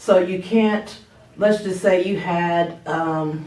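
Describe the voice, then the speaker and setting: Audible room echo surrounds a woman whose fairly low voice moves with ordinary pitch variation. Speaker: math teacher. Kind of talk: tutorial. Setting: recorded at workplace, not home office. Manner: casual, conversational.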